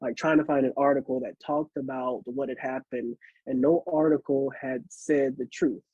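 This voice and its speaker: A man speaks at a moderate pace in an ordinary speaking voice. His pitch is fairly high, with fairly even intonation. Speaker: poet. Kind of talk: casual introduction to a poem.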